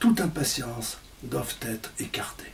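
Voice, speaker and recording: Very slowly, a man talks through noticeable background noise. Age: 60s. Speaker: presenter of a spiritual book. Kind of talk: presentation talk. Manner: formal.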